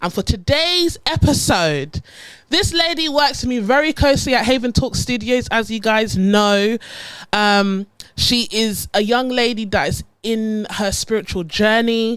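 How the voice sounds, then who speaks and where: Speaking at a fairly slow pace, a woman uses lively intonation and a fairly high pitch. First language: not English. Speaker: podcast host. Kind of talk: casual chat. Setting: studio.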